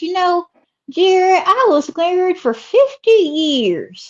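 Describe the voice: A woman's put-on character voice in a Southern US accent, extremely high in pitch, slow, with big pitch swings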